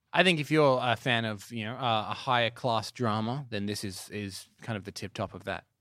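A man speaks at a medium pitch and a moderate pace, with hardly any pauses and ordinary pitch variation. His tone is bright and sharp, on a very clean recording with a silent background. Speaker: cinema company representative and film commentator.

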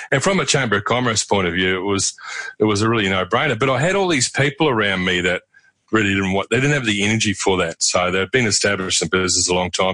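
This man speaks very fast in a Southland accent, with a fairly low pitch, ordinary pitch variation and very even loudness. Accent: New Zealand, Southland. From New Zealand, Invercargill (Southland). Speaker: regional development leader and former roadhouse owner. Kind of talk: interview.

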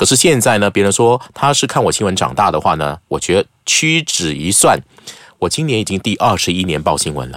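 His voice fairly low and edged with vocal fry, a man speaks at a fairly quick pace with very wide pitch swings. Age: 40s. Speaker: news presenter and media educator. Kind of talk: casual chat.

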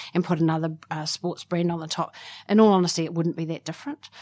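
This woman has a fairly low pitch and speaks with a New Zealand accent. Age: 40s. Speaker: sports club executive. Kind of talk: interview. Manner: hesitant, many fillers.

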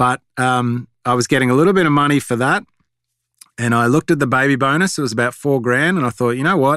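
A man with an Australian accent speaks at a fairly quick pace and medium pitch, with ordinary pitch variation, in a dry, close sound with no echo. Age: 40s. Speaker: animation creator. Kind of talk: interview. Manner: halting.

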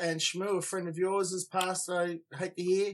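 With an Australian accent, a man speaks at a moderate pace in a high-pitched voice. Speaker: surf podcast co-host. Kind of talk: casual chat. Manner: animated.

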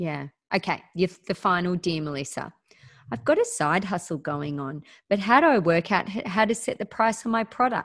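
A woman at a medium pitch, moving at a moderate pace with lively intonation. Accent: Australian. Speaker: podcast host. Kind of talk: casual interview chat. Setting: video call. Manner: animated, chatty.

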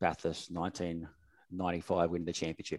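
A man with an Australian accent and a very deep, low pitch speaks in a dry, close sound with no echo, in a very clean recording with a silent background. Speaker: sponsorship manager. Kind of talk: casual chat.

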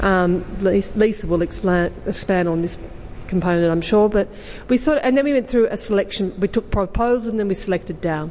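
A woman speaks at a medium pitch in an Australian accent, at a fairly quick pace. Her pitch varies in an ordinary way, and there is noticeable background noise. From Australia, Western District of Victoria. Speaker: exhibition curator. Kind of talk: panel talk.

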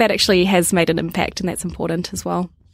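A woman talks with a New Zealand accent. Her pitch is medium. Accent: New Zealand, gentle. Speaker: social enterprise worker. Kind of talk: interview. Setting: studio.

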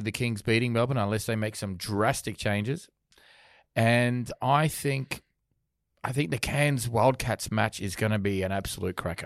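The speaker is a man with an Australian accent at a medium pitch. He talks at a moderate pace with ordinary pitch variation. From Australia, Sydney. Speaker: sports podcast host. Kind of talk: casual chat. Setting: studio.

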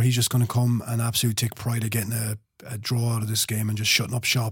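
A man with an Irish accent, medium pitch and a somewhat breathy voice, at a very fast pace. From Ireland. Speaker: football trader.

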